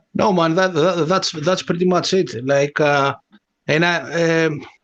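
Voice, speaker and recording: A non-native accent marks this man's speech. He talks at a fairly slow pace. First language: not English. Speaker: bitcoin meme maker. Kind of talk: casual chat. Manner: halting, many fillers.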